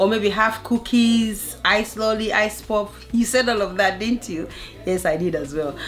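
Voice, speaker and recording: Music plays behind a woman speaking at a fairly slow pace. Her pitch is fairly high, with ordinary pitch variation. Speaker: family lifestyle vlogger. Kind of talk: casual vlog talk to camera. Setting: living room at home. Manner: loud; animated.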